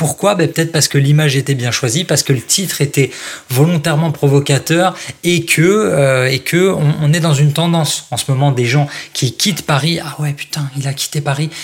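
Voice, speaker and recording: At a moderate pace, a man speaks in a fairly high, somewhat breathy voice with ordinary pitch variation. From France, Strasbourg (Alsace). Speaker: copywriter and author. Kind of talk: interview. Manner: animated.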